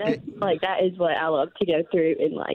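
Moderate in pace, a woman talks. She has a Southern US accent. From Alabama, US South. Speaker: listener caller. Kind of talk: casual chat. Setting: phone call.

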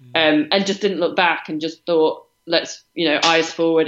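Speaking in a British accent, a woman holds a monotone, flat intonation at a very deep, low pitch. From Britain. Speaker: professional triathlete. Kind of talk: interview.

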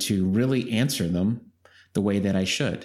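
Recorded very cleanly over a silent background, a man speaks in a calm tone at a fairly low pitch with fairly even intonation. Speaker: executive coach and author. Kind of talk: interview. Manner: deliberately slow, calm pace.

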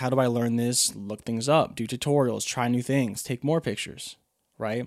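With an unremarkable speaking voice, a man talks at medium pitch and a fairly quick pace. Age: 20s. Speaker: podcaster and photographer/videographer. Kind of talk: casual solo monologue. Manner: conversational, many fillers.

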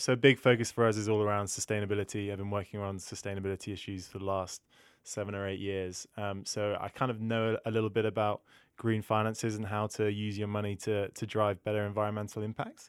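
A man's fairly low voice in a British accent, very fast, with monotone, flat intonation. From UK. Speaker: sustainability manager at a finance comparison company. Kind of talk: podcast interview.

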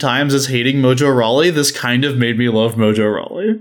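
Talking at a fairly quick pace, a man with an American accent has an unremarkable speaking voice pitched fairly high. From United States. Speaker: podcast host. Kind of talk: casual chat. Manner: casual, joking.

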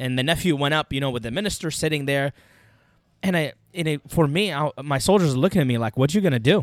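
Ordinary pitch variation marks a man's very fast speech, recorded with a dry, close sound and no echo. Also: fairly high pitch for a man, very clean recording, silent background. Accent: Arabic. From Iraq, Baghdad. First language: Arabic. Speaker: former Iraqi army NCO. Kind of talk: interview storytelling.

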